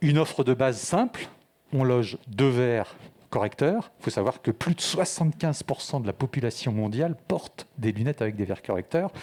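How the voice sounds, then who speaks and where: A man speaks at a moderate pace with a medium pitch. His tone is dark and mellow, and his intonation is lively. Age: 60s. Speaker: startup founder. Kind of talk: pitch presentation.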